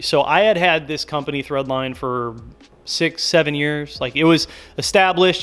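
Ordinary pitch variation marks an unremarkable speaking voice. The pace is moderate. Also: man. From US Midwest, Minneapolis and Milwaukee. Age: 30s. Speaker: car YouTuber. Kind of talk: casual monologue. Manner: casual, filler-heavy.

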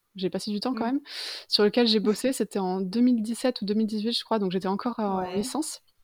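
On a very clean recording with a silent background, a woman with an unremarkable speaking voice talks at a moderate pace, fairly high in pitch and with fairly even intonation. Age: 20s. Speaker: freelance illustrator. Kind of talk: casual interview.

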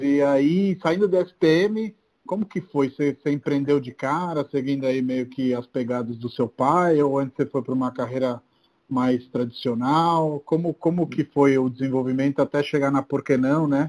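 Here is a man with an ordinary speaking voice at a fairly high pitch and a moderate pace. His pitch varies in an ordinary way, and the sound is dry and close with no echo. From Brazil, outside São Paulo. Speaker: podcast host, real estate entrepreneur. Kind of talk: casual interview.

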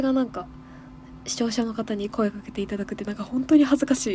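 Against noticeable background noise, a woman speaks in an animated tone at a fairly high pitch. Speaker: radio host. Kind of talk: casual solo radio talk. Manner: animated, fast talker.

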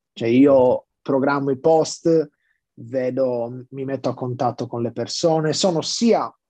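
The man has a dark, mellow tone at medium pitch. He speaks at a fairly slow pace with ordinary pitch variation. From Sardinia, Sassari. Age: 20s. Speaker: music project founder. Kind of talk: podcast interview. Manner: halting, repeats words.

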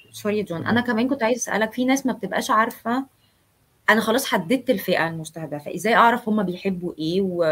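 At a very fast pace, a woman with an Egyptian accent speaks in a fairly high pitch with ordinary pitch variation. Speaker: live stream host. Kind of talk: live interview.

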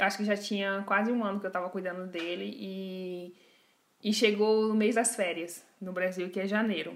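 Delivered with a Brazilian accent, the speech holds a moderate pace in a monotone, flat intonation. Audible room echo surrounds it. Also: woman, medium pitch for a woman. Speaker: podcast host. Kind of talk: casual chat.

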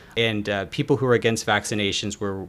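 An ordinary speaking voice from a man with an American accent, fairly low pitch and ordinary pitch variation. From US South, Atlanta, Georgia. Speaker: behavioral finance author. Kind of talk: interview.

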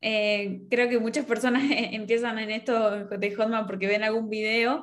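A woman with an ordinary speaking voice, at a moderate pace. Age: 20s. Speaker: digital marketer. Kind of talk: interview.

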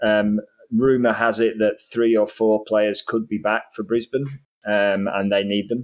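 A man speaks in a Yorkshire accent with a fairly low pitch. His delivery is fairly slow and monotone, with flat intonation. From northern England, Yorkshire. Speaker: football podcast panelist. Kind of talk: casual chat.

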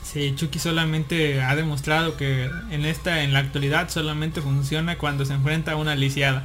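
A man speaks at a fairly quick pace with hardly any pauses, his pitch fairly high and his intonation flat and monotone. His loudness stays very even over noticeable background noise. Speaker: podcast host. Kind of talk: casual chat. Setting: online live broadcast.

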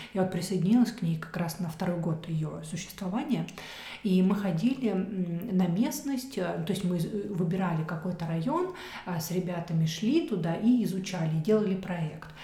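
With ordinary pitch variation and a medium pitch, a woman talks at a moderate pace against noticeable background noise. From Central Russia. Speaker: architect. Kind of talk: casual chat.

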